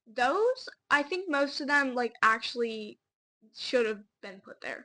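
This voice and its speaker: Projecting her voice, a woman speaks at a high pitch in a bright, sharp tone with lively intonation. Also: big swings in loudness. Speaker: podcast co-host. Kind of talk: casual chat. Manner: fast.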